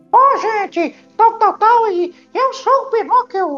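A man puts on a squeaky, cheerful character voice at an extremely high pitch. He speaks at a fairly slow pace over faint background music. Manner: cheerful cartoon voice.

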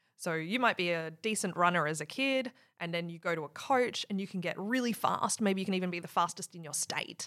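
In an Australian accent, a woman with a fairly low pitch and a bright, sharp tone speaks at a fairly quick pace with hardly any pauses and ordinary pitch variation, on a very clean recording with a silent background. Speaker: software engineering leader. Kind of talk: casual interview chat.

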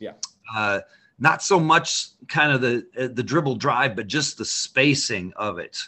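A plain, everyday voice from a man with an American accent, medium pitch, lively intonation and a fairly slow pace. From Idaho. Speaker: high school basketball coach. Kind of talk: casual interview.

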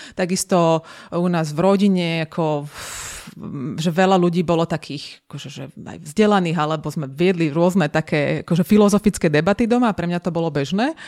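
A woman with a fairly low pitch talks at a fairly quick pace, her loudness swinging widely and her pitch varying in an ordinary way, in a dry, close sound with no echo on a very clean recording with a silent background. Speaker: coach and lecturer. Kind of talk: interview conversation. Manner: enthusiastic, energetic.

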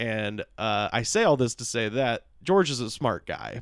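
Using a normal speaking voice with an American accent, a man talks at a medium pitch and a fairly slow pace. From US South, Auburn, Alabama. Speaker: comedian and podcaster. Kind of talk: casual chat. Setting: home studio.

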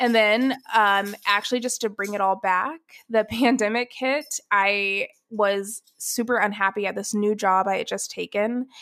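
Speaking in an American accent, a woman uses a fairly high pitch with a bright, sharp tone and fairly even intonation. Her fairly slow delivery comes through a very clean recording with a silent background. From US South, Atlanta, Georgia. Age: 20s. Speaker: writer and career coach. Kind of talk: casual chat.

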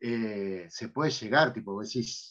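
A man with an Argentine accent. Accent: Rioplatense Argentine Spanish. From Argentina, Buenos Aires city. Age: 50s. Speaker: podcast host. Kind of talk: casual chat.

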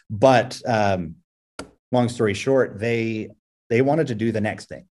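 A man with an ordinary speaking voice, at a fairly quick pace. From Houston, Texas. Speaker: tech entrepreneur. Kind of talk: casual interview. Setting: remote call.

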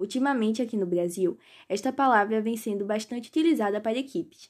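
Her tone dark and mellow, a woman talks at a fairly high pitch and a moderate pace with lively intonation, on a very clean recording with a silent background. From Pernambuco, Brazil. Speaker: podcast host teaching English slang. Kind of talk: scripted tutorial.

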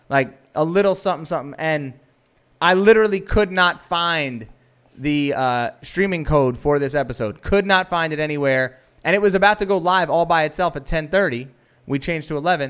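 A man with a plain, everyday voice and an American accent talks fairly quickly at a fairly high pitch, in a very clean recording with a silent background. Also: ordinary pitch variation. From New York. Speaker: film director and podcast host. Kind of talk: casual chat.

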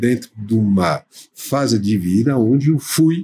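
A man with a French accent speaks in a dark, mellow, somewhat breathy tone with very wide pitch swings. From France, near Paris. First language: French (speaking Portuguese). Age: 60s. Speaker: baker and entrepreneur. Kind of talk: interview.

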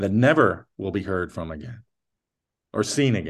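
An ordinary speaking voice moves at a moderate pace against a quiet background. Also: man. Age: 50s. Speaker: podcast co-host. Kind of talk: casual chat.

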